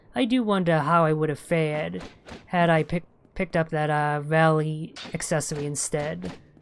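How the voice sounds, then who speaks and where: A woman with a very deep, low pitch talks at a moderate pace with ordinary pitch variation while noticeable background noise carries on. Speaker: gaming video creator. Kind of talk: let's play commentary. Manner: halting, stutters a fair bit.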